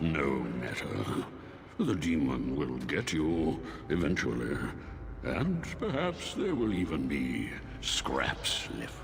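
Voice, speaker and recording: A man's put-on character voice at a very slow pace over loud background noise. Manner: slow, lazy.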